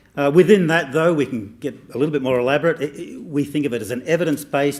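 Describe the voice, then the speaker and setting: Fairly high in pitch, a man talks at a fairly quick pace in an Australian accent. The recording is very clean, with a silent background. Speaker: professor. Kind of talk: speech.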